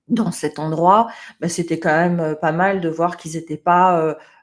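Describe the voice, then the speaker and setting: This is a woman speaking at a fairly low pitch. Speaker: management trainer. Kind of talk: webinar presentation. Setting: online webinar.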